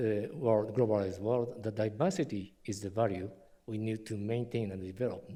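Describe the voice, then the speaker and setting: With a Japanese accent, a man speaks at a fairly slow pace in a dark, mellow tone. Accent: non-native English, Japanese. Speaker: historian and university vice president. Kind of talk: lecture. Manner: halting, many fillers.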